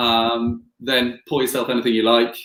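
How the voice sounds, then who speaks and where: Medium in pitch and monotone, flat in intonation, a man talks with a slight Scottish accent. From Scotland. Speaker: distillery representative. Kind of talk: live whisky tasting. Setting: livestream.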